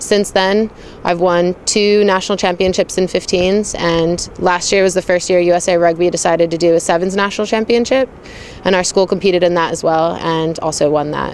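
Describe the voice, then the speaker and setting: Against noticeable background noise, a woman with a fairly low pitch talks at a fairly quick pace with fairly even intonation. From Hong Kong. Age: 20s. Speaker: rugby player. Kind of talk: interview monologue. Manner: casual, conversational.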